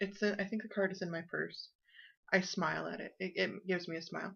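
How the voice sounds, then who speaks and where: A woman's medium-pitched voice with vocal fry, monotone, flat intonation and a fairly quick pace. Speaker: knitting podcast host. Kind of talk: casual video podcast chat.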